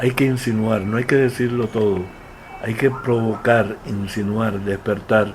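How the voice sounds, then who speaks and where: A man with a Cuban accent at a medium pitch, monotone and flat, at a fairly slow pace, with noticeable background noise. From Santiago de Cuba, Cuba. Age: 70s. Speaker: playwright. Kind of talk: interview answer.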